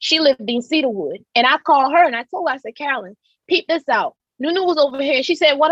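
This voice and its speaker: Speaking at a very fast pace, a woman uses a high pitch, lively intonation and an animated tone, with a dry, close sound and no echo. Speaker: domestic violence survivor. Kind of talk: testimony.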